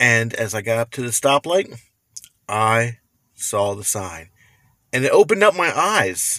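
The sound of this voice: The pace is fairly slow. A bright, sharp tone rides on lively intonation. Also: man, medium pitch for a man.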